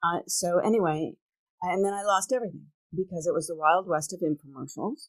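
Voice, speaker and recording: Dry and close with no echo, a woman's normal speaking voice moves at a fairly quick pace. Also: fairly low pitch for a woman, ordinary pitch variation. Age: 60s. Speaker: entrepreneur and podcast host. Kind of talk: casual interview chat.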